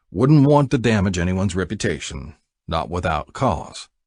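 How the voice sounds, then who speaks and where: Against a quiet background, a put-on character voice drawls at a moderate pace with very wide pitch swings. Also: man, very deep, low pitch for a man. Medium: read story. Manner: folksy, unhurried, drawling.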